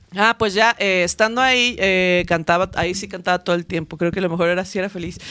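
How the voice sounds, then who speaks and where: A woman at medium pitch talks very fast with hardly any pauses. Her intonation is fairly even, and the sound is dry and close with no echo. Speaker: band singer. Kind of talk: casual chat.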